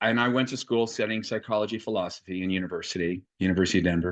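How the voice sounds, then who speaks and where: A man with an American accent against a quiet background. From Los Angeles, US. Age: 60s. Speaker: yoga teacher. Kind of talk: interview.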